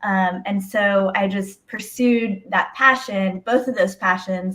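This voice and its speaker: With an American accent and an unremarkable speaking voice, a woman talks at a fairly slow pace in a medium pitch with fairly even intonation. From Houston, Texas (born Mexico City). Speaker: attorney. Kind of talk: casual interview.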